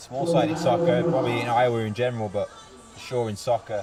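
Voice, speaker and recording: Music plays behind a man with an English accent who speaks very fast at medium pitch with lively intonation. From Birmingham, England. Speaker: soccer coach. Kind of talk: interview.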